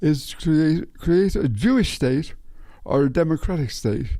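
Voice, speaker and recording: In an Irish accent, a man with a fairly high pitch and a dark, mellow tone speaks at a fairly slow pace. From Ireland. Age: 80s+. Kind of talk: casual talk to camera.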